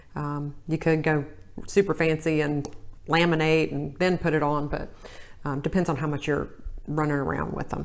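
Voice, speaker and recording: A woman with a Southern US accent speaks at a very deep, low pitch and a moderate pace. Her intonation is monotone and flat, broken by long, frequent pauses. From US South. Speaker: reading tutor. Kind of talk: tutorial.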